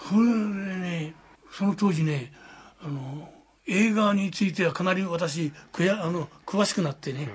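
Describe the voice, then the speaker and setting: A man's high-pitched voice with ordinary pitch variation over noticeable background noise. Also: fairly slow pace. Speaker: war veteran. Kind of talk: testimony. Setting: at home. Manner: animated.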